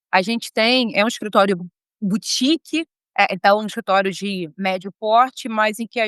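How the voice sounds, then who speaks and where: A woman's fairly high voice, bright and sharp in tone with ordinary pitch variation, moves at a moderate pace in a dry, close sound with no echo. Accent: Rio de Janeiro. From Brazil, Rio de Janeiro. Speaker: lawyer and law professor. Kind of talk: interview. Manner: informal, many filler hesitations.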